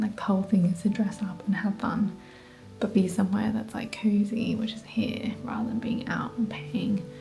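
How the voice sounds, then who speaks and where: Whispering at a moderate pace in an Australian accent, a woman is heard with audible room echo and music in the background. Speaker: lifestyle vlogger. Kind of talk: casual vlog talk.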